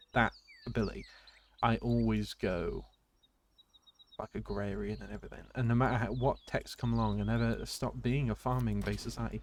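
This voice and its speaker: A fairly quick pace in a British accent, broken by long, frequent pauses. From Britain. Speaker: gaming streamer. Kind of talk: live gameplay commentary. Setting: live stream. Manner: casual, hesitant with fillers.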